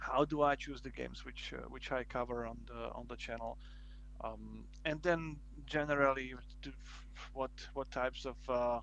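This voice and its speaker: Someone with a non-native accent speaks at a moderate pace, with big swings in loudness. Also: man. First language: Slovak. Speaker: board game video creator. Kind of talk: casual interview. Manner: halting, many fillers and restarts.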